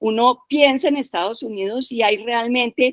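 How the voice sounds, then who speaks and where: A woman's high voice at a fairly slow pace, dry and close with no echo. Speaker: participant in a feminist discussion session. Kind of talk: panel discussion. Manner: animated.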